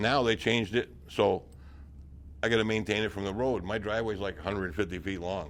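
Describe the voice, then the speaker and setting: At a fairly quick pace, a man speaks with a New England accent. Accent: rural New England. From north-central Massachusetts. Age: 70s. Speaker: retired town trapper. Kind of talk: oral history interview. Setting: senior center.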